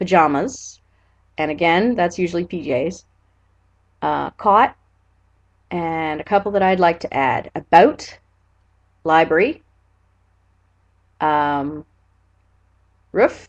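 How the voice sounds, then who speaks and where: A woman with a Nova Scotian accent and a fairly low pitch speaks at a very slow pace with ordinary pitch variation and long, frequent pauses, over a quiet background. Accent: Nova Scotian Canadian English. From Nova Scotia, Canada (Annapolis Valley). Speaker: vlogger. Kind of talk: casual vlog, reading word list aloud. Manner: casual, filler words.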